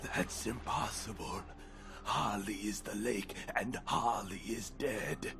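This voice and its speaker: Using a put-on character voice, a man speaks at a fairly slow pace. Loud background noise runs underneath. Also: fairly low pitch for a man. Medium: video game. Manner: cryptic, evasive.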